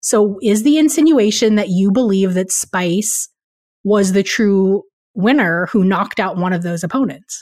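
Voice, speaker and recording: A woman talks at a fairly slow pace with lively intonation in a plain, everyday voice. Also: medium pitch for a woman. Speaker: podcast co-host, news director. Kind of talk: casual chat.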